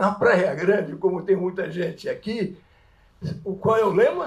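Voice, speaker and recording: A man with a high-pitched voice for a male. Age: 80s+. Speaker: audience member, retired lawyer. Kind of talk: audience question at public talk. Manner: halting, repetitive.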